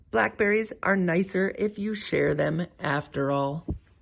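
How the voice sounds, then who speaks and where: A man uses a put-on character voice that is high-pitched and squeaky. He speaks at a fairly slow pace. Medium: read story.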